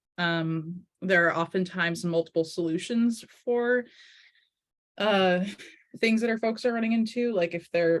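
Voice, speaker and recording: With an American accent, a woman speaks at a fairly low pitch, with ordinary pitch variation. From Eastern Massachusetts. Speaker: advocacy trainer. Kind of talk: online training session. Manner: fast.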